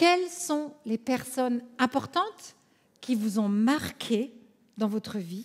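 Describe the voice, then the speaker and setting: A woman speaks at a high pitch with lively intonation. Her pace is very slow. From France, Alsace. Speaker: conference speaker, coach. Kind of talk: conference talk.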